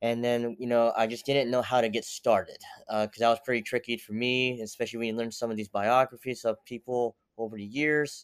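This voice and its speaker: With an American accent, a man at medium pitch talks at a fairly quick pace. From Pennsylvania and Tennessee, US. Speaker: sports physical therapist. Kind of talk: interview. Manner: halting, many fillers.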